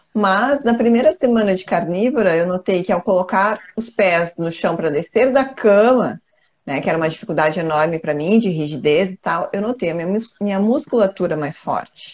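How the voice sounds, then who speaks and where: A woman with a plain, everyday voice talks at a medium pitch with lively intonation and hardly any pauses. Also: moderate pace. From southern Brazil, countryside. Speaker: co-host. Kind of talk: casual chat. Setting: live stream.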